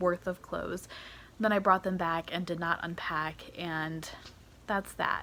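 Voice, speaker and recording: At a moderate pace, a woman uses a normal speaking voice pitched in the medium range. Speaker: vlogger. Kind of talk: casual vlog monologue.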